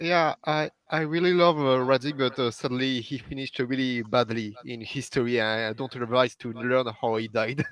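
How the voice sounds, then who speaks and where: A man speaks with a French accent at a medium pitch and a moderate pace. His pitch varies in an ordinary way, and he hardly pauses. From France. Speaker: community member. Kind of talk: casual chat. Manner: halting.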